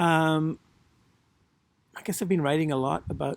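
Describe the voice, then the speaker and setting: This woman has a very deep, low pitch and a Northern Irish accent. Her pitch moves in an ordinary way, and the sound is dry and close with no echo. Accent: faint Northern Irish. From Northern Ireland. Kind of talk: hesitant, reading poetry with fillers.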